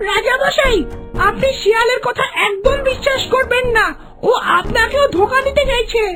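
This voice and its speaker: A cartoonish character voice talks at an extremely high pitch and a moderate pace. Clear music plays in the background. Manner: insistent.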